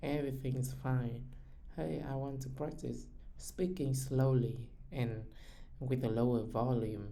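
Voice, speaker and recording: A fairly slow pace with long, frequent pauses. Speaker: data engineer. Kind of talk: conversation practice with AI. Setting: voice chat with AI. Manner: loud.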